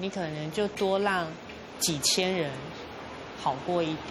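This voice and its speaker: A woman speaks with a Taiwanese accent at a fairly slow pace, with long, frequent pauses. Audible room echo and noticeable background noise are present. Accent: Taiwanese Mandarin. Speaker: café owner. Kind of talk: interview.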